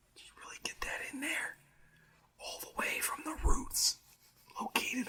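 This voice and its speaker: Whispering in a relaxed tone, a man speaks. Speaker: ASMR creator. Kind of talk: ASMR whisper and soft talk for relaxation. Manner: soft-spoken, relaxed.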